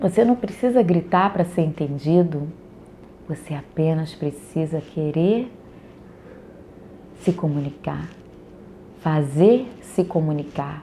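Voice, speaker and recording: Soft-spoken and somewhat breathy, a woman has a dark, mellow tone with ordinary pitch variation. She speaks very slowly, with long, frequent pauses. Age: 40s. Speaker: early childhood educator. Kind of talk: personal storytelling monologue.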